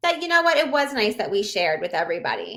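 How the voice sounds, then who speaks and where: A woman with an American accent speaks in a raised, projected voice, high-pitched with a bright, sharp tone, an animated delivery and very wide pitch swings. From Pennsylvania, US. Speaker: innkeeper. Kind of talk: casual interview chat.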